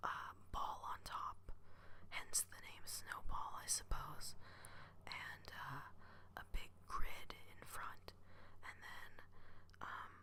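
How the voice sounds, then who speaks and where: A man whispers at a very slow pace, with long, frequent pauses. His loudness swings widely. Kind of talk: ASMR whispered ramble. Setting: home recording, podcasting microphone. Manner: whispered, soft-spoken; hesitant, many filler words.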